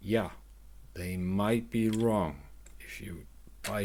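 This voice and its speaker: A man speaks at a very slow pace with a non-native accent. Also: very clean recording, silent background. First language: not English. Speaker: retro computer hobbyist YouTuber. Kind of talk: unscripted product review. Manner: halting, many restarts.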